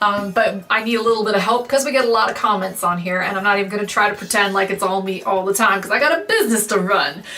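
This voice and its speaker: An animated woman's voice at medium pitch, with ordinary pitch variation and noticeable background noise. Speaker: wig reviewer and business owner. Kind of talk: casual outro talk to viewers. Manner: loud.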